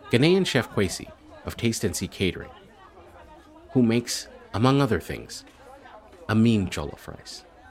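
A man talks at a medium pitch and a moderate pace with lively intonation, leaving long, frequent pauses. Crowd noise can be heard behind him. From Canada. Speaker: podcast host. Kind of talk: casual interview; scripted narration.

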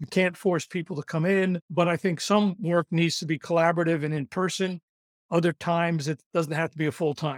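With a New York accent, a man talks at a fairly quick pace in a high pitch, his intonation fairly even, the sound dry and close with no echo. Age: 70s. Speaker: recruitment consultant. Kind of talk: podcast interview. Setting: video call. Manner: fast talker.

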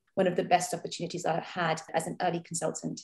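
The delivery comes at a fairly quick pace. The tone is dark and mellow, and somewhat breathy. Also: woman. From India. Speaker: doctor. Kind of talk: interview.

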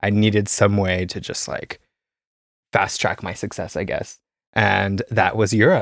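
Fairly slow and fairly even in intonation, a man with an American accent and a normal speaking voice talks at a fairly low pitch, the sound dry and close with no echo on a very clean recording with a silent background. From US, Idaho. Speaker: composer and sound artist. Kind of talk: casual interview.

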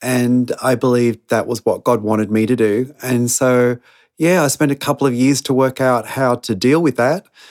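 Recorded with a dry, close sound and no echo, a man talks in an Australian accent. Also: medium pitch for a man, fairly even intonation, moderate pace, very even loudness. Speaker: missionary. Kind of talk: interview.

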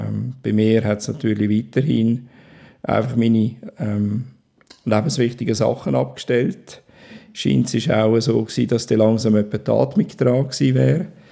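This man's voice sits at a medium pitch, with a dark, mellow tone and lively intonation. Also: moderate pace. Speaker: stroke survivor. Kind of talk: testimony. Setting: at home.

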